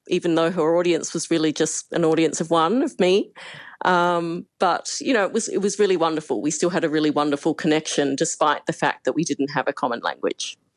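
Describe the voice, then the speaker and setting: In an Australian accent, a woman speaks at a fairly quick pace and fairly low pitch with ordinary pitch variation and very even loudness. The sound is dry and close with no echo, against a quiet background. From Australia, Perth. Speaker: human rights campaigner. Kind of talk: interview. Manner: evenly spoken.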